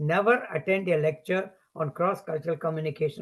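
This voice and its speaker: Speaking at a fairly quick pace, a man with a Tamil accent talks in a high pitch. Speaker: professor. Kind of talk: lecture.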